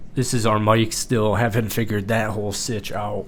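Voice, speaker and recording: A man's voice with audible room echo. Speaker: content creator. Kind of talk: casual vlog.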